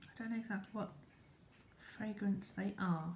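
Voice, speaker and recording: Whispering at a moderate pace, the speaker goes on. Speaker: product reviewer. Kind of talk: product review demonstration. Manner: halting.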